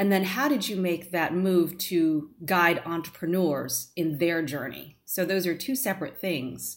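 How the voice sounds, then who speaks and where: A woman with a plain, everyday voice speaks fairly slowly at a fairly low pitch with ordinary pitch variation. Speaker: podcast host. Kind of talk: interview.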